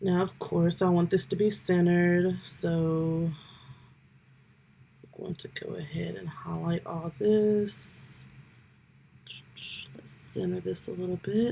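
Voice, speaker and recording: A woman talks at a very slow pace. Long, frequent pauses break up her speech. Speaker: YouTuber giving tech tutorials. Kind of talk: tutorial. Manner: casual, with filler ums.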